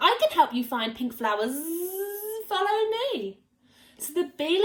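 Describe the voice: The reading is plain. It is read aloud without anything added.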